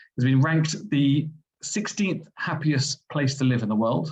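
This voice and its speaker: Vocal fry and lively intonation in a London accent. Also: man. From England, London. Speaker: medical school vice dean. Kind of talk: presentation. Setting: webinar.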